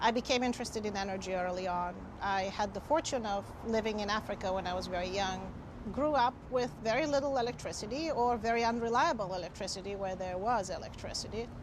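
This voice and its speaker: Speaking at a very fast pace, a woman with a fairly high pitch and ordinary pitch variation sounds out over audible room echo. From Bulgaria. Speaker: grid operator official. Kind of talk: interview.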